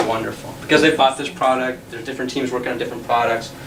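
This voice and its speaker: There is audible room echo and noticeable background noise as a man talks at a medium pitch with fairly even intonation. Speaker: tech talk presenter. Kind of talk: lecture.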